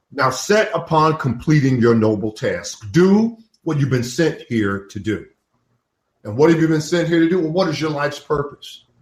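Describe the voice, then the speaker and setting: A somewhat breathy man at a moderate pace. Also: fairly high pitch for a man, lively intonation. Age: 70s. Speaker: business professor and author. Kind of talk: interview. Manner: animated.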